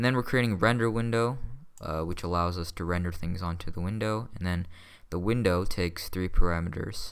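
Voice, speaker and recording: A man speaks with a very deep, low pitch. Audible room echo surrounds the voice. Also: ordinary pitch variation. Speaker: coding tutorial youtuber. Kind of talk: tutorial. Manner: fast; casual with many fillers.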